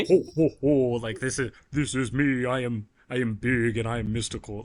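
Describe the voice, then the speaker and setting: Using a put-on character voice, a man speaks at a medium pitch. He keeps a moderate pace. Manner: jolly, grand.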